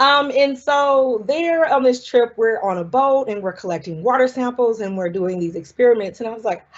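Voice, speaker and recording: The speaker talks at a moderate pace with a Southern US accent and hardly any pauses. The loudness swings widely from moment to moment. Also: woman, high pitch for a woman. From US South, South Carolina. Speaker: marine scientist. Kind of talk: lecture. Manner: casual, many fillers.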